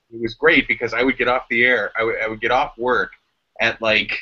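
Against a quiet background, a man with an American accent talks at a fairly quick pace. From Cleveland, Ohio, USA. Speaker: voice actor and audiobook creator; former radio host. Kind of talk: casual talk to camera, live video chat. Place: home room. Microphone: webcam.

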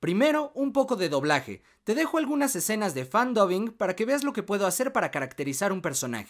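This man speaks at a fairly quick pace with hardly any pauses, his high pitch swinging very widely. The recording is very clean, with a silent background. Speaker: voice actor. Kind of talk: demo reel host introduction.

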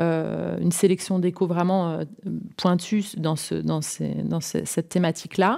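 The recording is very clean with a silent background. A woman speaks at a fairly slow pace. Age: 40s. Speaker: entrepreneur, interior designer. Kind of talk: interview. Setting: at her home. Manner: halting, many fillers.

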